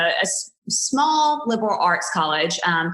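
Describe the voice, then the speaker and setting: With a Southern US accent, a woman talks at a fairly high pitch, her voice swinging very widely up and down. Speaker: wedding photographer. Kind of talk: podcast interview. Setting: podcast recording.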